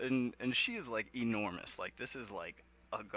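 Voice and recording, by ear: This is reading aloud in a natural voice, with fairly even intonation.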